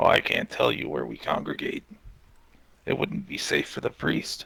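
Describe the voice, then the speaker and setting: A man speaks in a put-on character voice. His tone is raspy. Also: moderate pace. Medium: game stream. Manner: calm, guarded, cryptic.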